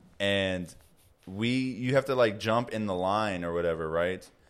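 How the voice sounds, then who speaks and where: Recorded very cleanly against a silent background, a man with an American accent talks at a moderate pace in a normal speaking voice, fairly low in pitch, with lively intonation. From Chicago, Illinois. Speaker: podcast co-host. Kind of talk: casual chat. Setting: home recording.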